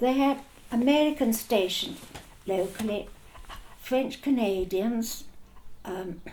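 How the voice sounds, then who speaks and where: There is noticeable background noise as a woman talks very slowly at a fairly high pitch. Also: ordinary pitch variation. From Argentina. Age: old. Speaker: war veteran. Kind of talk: interview answer.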